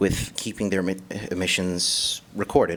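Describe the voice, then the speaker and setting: A man's very deep, low voice with an American accent at a moderate pace. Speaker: public commenter at a county meeting. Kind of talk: public comment speech. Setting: county board meeting room. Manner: halting, with self-corrections.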